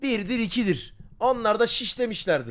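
A man's voice, animated in tone. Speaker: streamer reacting to a video. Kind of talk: casual live-stream chat.

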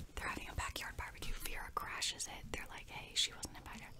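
A woman is whispering. Her pace is fairly quick. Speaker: ASMR creator. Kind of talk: ASMR movie review. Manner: casual, chatty. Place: home room. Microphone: studio mic.

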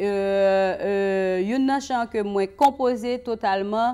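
Her voice is a plain, everyday voice, with medium pitch for a woman and fairly even intonation. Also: quiet background. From Haiti. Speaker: singer; guest. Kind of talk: casual chat. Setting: studio. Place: studio.

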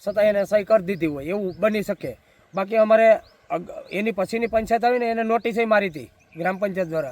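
Speaking with ordinary pitch variation, a man talks at a high pitch. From Saurashtra, Gujarat (Una, Gir Somnath). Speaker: village local party leader and protester. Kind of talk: interview.

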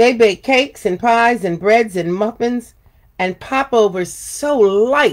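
The passage comes through in an unforced reading voice.

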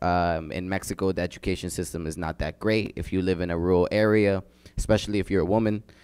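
A man speaks in a very deep, low voice. His intonation is fairly even, and the background is quiet. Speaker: community organizer; panelist. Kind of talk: panel discussion. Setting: stage with audience. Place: classroom. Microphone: handheld.

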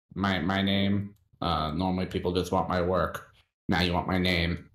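A man's raspy, put-on character voice, very deep and low, at a moderate pace, with monotone, flat intonation and very even loudness. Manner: curt, dry.

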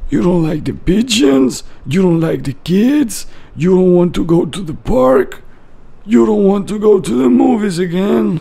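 In a cartoonish character voice, a man speaks at a high pitch with very wide pitch swings. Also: moderate pace. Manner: soothing, patient, gently reasoning.

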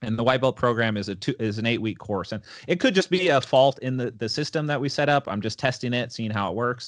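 A man at a very fast pace with hardly any pauses, ordinary pitch variation, and a quiet background. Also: medium pitch for a man. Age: 20s. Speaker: jiu-jitsu competitor and gym owner; podcast guest. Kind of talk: casual chat; interview answer. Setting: podcast interview.

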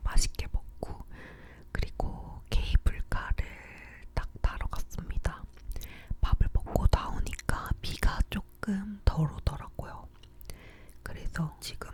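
Whispering from a woman at a very slow pace, with long, frequent pauses, big swings in loudness and noticeable background noise. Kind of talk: ASMR whispered chatting about recent life. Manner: whispered, close-up, soft.

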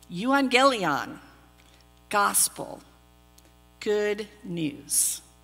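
A speaker with an American accent makes very wide pitch swings over faint music in the background. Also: woman, medium pitch for a woman. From Texas. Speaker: pastor. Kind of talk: sermon. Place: church.

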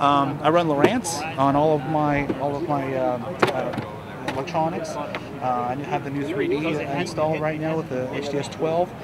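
Loud background noise behind a man speaking at a moderate pace. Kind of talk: casual show-and-tell tour. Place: hall.

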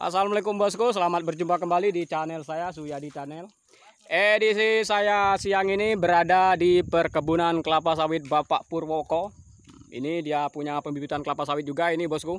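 Here a man talks at a fairly quick pace in a high pitch. His intonation stays fairly even, and the sound is dry with no echo. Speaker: vlogger. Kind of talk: casual vlog chat. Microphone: phone near.

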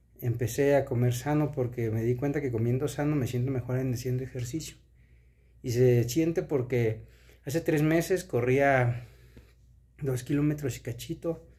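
A man speaks at a medium pitch and moderate pace, somewhat breathy. His tone is dark and mellow, and the background is quiet. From Mexico. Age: 30s. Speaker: vlogger. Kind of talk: casual vlog monologue. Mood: earnest, motivational. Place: home room. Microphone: phone near.

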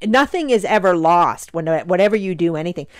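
A woman with an ordinary speaking voice, fairly low pitch and lively intonation. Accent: Canadian. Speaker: podcast co-host. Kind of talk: casual chat.

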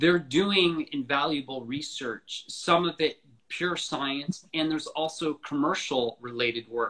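A bright, sharp tone at a fairly slow pace, with hardly any pauses, ordinary pitch variation and a quiet background. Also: man, fairly high pitch for a man. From US, Florida. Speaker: author of a book on the space industry; guest. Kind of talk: interview conversation. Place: home room. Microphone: video call.

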